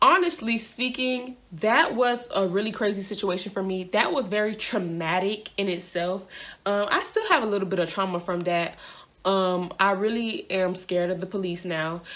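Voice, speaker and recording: The woman's voice sits at a medium pitch. It varies in pitch in an ordinary way. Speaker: vlogger. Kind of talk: storytelling vlog. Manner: fast; casual, conversational with fillers.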